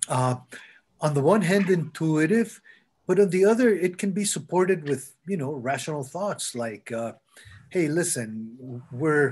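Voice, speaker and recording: A man with a Spanish accent at a fairly slow pace, very wide pitch swings, against a quiet background. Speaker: architect and labyrinth designer. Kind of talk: Q&A after a talk. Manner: halting, many fillers.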